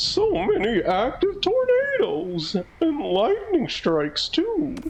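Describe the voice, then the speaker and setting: A put-on character voice with an extremely high pitch goes at a fairly slow pace over light background noise. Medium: game stream.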